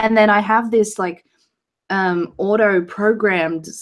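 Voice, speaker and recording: A woman's very slow speech in an Australian accent with fairly even intonation, on a very clean recording with a silent background. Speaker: YouTuber. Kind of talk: casual chat. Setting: live stream.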